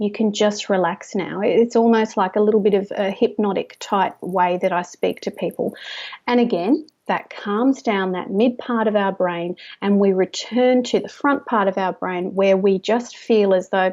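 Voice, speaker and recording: A woman with an Australian accent speaks at a moderate pace. Her pitch is medium and her intonation fairly even. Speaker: stress management specialist. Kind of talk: interview. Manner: gentle soft trance voice when tapping with clients.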